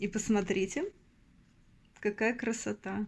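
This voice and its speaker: Vocal fry runs through speech delivered at a very slow pace. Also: woman. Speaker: postcard collector vlogger. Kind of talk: casual show-and-tell vlog.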